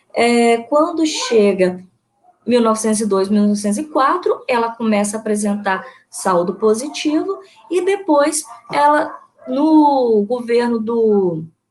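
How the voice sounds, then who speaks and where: A woman with a fairly high pitch speaks at a fairly slow pace, her voice making very wide pitch swings. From Brazil, Espírito Santo (Alegre, Caparaó region). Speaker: history teacher and researcher. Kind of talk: online lecture presentation. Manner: hesitant, many fillers.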